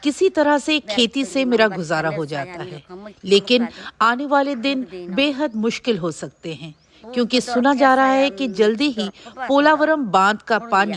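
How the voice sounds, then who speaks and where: Big swings in loudness and very wide pitch swings. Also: woman. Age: 60s. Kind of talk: testimony.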